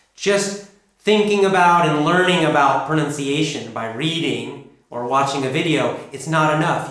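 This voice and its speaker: With a General American accent and ordinary pitch variation, a man speaks in a plain, everyday voice that runs fairly high for a man. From United States. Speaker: English pronunciation teacher. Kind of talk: online course lesson.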